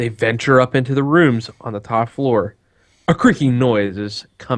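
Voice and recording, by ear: The pitch varies in an ordinary way while the text is read aloud in a natural voice.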